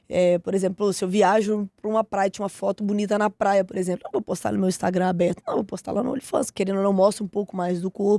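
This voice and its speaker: Very fast pace from a woman with a medium-pitched voice. Her intonation is monotone and flat. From Minas Gerais, Brazil (Ribeirão das Neves). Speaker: professional MMA fighter. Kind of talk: casual interview chat. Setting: podcast studio.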